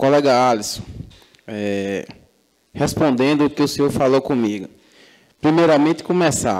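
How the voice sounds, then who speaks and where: Over a quiet background, a man with a fairly high pitch and ordinary pitch variation speaks at a moderate pace, leaving long, frequent pauses. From Macajuba, Bahia, Brazil; Bahia, Brazil. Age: 20s. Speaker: city councillor. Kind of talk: heated debate. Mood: combative rebuttal to a colleague. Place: hall. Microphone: podium.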